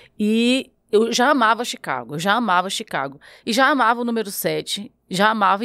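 A woman speaks in a northeastern Brazilian accent at a fairly high pitch. Her intonation is lively, and the background is quiet. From Brazilian Northeast. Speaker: podcast host. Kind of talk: casual chat. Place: studio. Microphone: studio mic.

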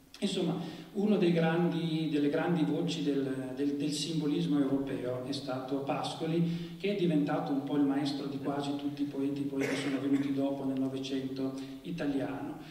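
Audible room echo and light background noise surround the speech. The delivery has fairly even intonation at a moderate pace. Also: man, fairly high pitch for a man. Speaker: literary critic introducing the event. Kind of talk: formal lecture-style introduction. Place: stage.

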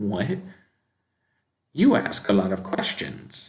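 A man puts on a gruff character voice. He speaks at a fairly slow pace with a fairly low pitch. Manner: gruff, irritated.

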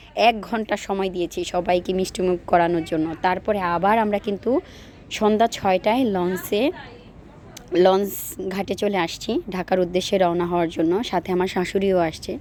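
There is noticeable background noise behind this woman. She speaks at a medium pitch with fairly even intonation. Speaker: vlogger. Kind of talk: casual vlog narration.

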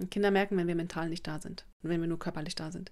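Here a woman is speaking. Her delivery is monotone, with flat intonation. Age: 40s. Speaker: parenting coach and video blogger. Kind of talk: advice monologue to camera. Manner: casual with many fillers.

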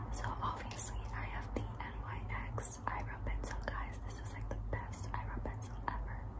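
A woman's very deep, low pitch in monotone, flat intonation at a moderate pace. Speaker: beauty vlogger. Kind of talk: ASMR makeup bag show-and-tell to camera. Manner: whispered, soft, close to the microphone. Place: home room. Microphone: phone near.

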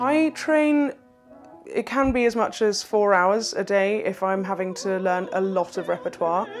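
Faint music plays in the background. A woman speaks at a medium pitch. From London. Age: young. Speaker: opera singer. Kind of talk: interview answer. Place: home room. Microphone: lapel.

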